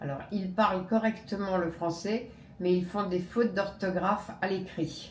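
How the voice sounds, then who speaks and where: Delivered at a very slow pace, the voice shows ordinary pitch variation. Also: woman. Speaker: native French speaker, conversation partner. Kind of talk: casual conversation.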